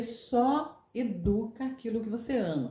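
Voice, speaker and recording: At a very slow pace, a woman speaks with a fairly high pitch. Her intonation is lively. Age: 60s. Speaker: retired teacher. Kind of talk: interview.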